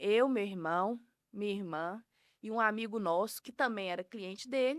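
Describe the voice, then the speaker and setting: Woman with a strong Minas Gerais accent and lively intonation at a fairly slow pace, the sound dry and close with no echo, on a very clean recording with a silent background. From Minas Gerais, Brazil (Piuí). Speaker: food business owner. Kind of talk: podcast interview.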